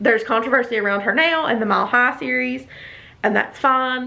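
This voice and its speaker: With a Southern US accent, a woman speaks fairly quickly at a fairly high pitch and ordinary pitch variation. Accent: noticeable Southern US. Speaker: book reviewer. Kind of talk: casual talk to camera. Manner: chatty, opinionated.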